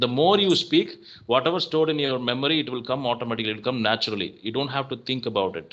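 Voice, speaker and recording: Speaking very fast, a man with an American accent has a medium pitch. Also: lively intonation. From South India, Tamil Nadu. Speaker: software worker and English YouTuber. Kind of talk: casual chat. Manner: hesitant, many fillers.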